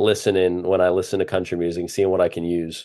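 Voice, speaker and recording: At a fairly quick pace, a man talks at a fairly low pitch in an ordinary speaking voice. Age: 20s. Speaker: baseball broadcaster. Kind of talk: casual chat.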